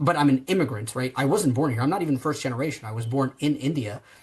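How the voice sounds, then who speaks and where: Somewhat breathy and animated in tone, a man talks at a medium pitch with ordinary pitch variation. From New Jersey, US. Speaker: tech company founder and CEO. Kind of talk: podcast interview. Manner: animated, many fillers and restarts.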